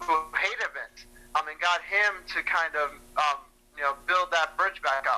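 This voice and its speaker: At a fairly slow pace, a man with a high voice speaks with ordinary pitch variation. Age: 20s. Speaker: wrestling fan. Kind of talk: casual interview.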